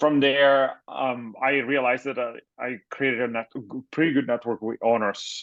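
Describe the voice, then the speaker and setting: A man speaks with an Italian accent in a medium pitch. He keeps a moderate pace against a quiet background. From Italy. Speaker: tech startup founder and CEO. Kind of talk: interview.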